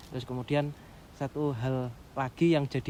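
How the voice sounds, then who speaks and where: The tone here is dark and mellow. It belongs to a man speaking at medium pitch. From East Java, Pasuruan. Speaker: trainee pastor. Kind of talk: casual interview chat.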